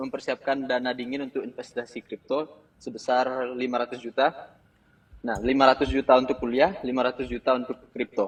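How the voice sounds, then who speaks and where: Delivered at a moderate tempo, this man's voice stays in a medium range. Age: 20s. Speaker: caller asking for financial advice. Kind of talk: call-in question on a live show. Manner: halting, with hesitations.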